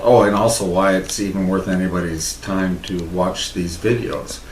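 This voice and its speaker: A man with an American accent speaks in a very deep, low, monotone voice at a moderate pace. Audible room echo and noticeable background noise surround him. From Texas. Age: 60s. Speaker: interviewee telling his life story. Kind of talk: casual autobiographical talk.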